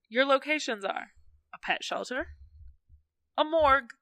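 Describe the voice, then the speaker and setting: A woman's raised, projected voice in an American accent, high-pitched, bright and sharp, recorded dry and close with no echo. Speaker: podcast host. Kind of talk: casual chat, comedic banter. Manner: animated, storytelling.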